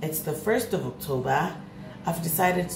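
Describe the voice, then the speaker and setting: Lively intonation with audible room echo and light background noise. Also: woman. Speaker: vlogger. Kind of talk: vlog monologue. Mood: candid, a bit weary. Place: kitchen. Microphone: phone near.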